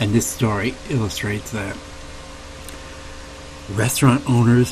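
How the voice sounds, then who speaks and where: With long, frequent pauses and fairly even intonation, a soft-spoken man talks against noticeable background noise. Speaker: ASMR host. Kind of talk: reading tabloid stories aloud. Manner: soft-spoken, humorous.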